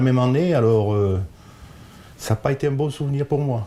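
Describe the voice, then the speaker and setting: Speech comes at a fairly slow tempo. The tone is mellow and dark. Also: man. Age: 70s. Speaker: football referee. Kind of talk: interview. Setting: at home. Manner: halting, hesitant.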